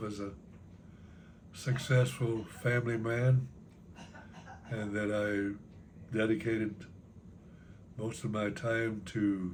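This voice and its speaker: A man's somewhat breathy, medium-pitched voice with ordinary pitch variation, long, frequent pauses, and audible room echo. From Texas (San Antonio). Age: 90s. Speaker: grandfather telling life stories. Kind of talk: family interview, life reflections. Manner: halting.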